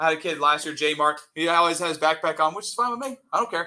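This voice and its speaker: Loud and energetic, a man speaks at a very fast pace with a bright, sharp tone. His pitch is fairly high with ordinary variation. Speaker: high school chemistry teacher. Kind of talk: classroom lecture. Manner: energetic, casual.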